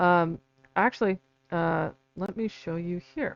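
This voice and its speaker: A woman mumbles with fairly even intonation. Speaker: independent researcher and author. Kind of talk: live stream talk. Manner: halting, many fillers; mumbling.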